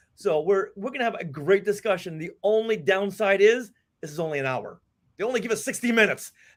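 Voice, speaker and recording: A man speaks at a high pitch with a Boston accent. His delivery is very fast, with lively intonation. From US Northeast, Boston. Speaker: podcast host and author. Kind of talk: casual interview chat.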